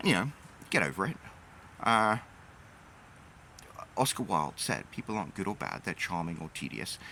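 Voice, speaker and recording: With a bright, sharp tone and vocal fry, a man's fairly low voice makes very wide pitch swings at a moderate pace, broken by long, frequent pauses. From Britain. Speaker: YouTuber and author. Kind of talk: casual monologue.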